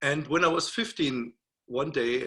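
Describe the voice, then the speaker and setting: This very clean recording has a silent background. On it, a man speaks with a German accent. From Germany (Berlin). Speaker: music professor. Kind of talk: lecture. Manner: halting.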